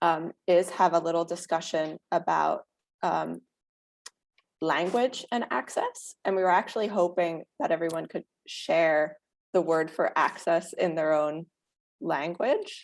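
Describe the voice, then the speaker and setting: A woman's fairly low voice at a fairly slow pace, with ordinary pitch variation and a dry, close sound with no echo. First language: Dutch. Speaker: workshop moderator, museum researcher. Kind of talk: workshop moderation.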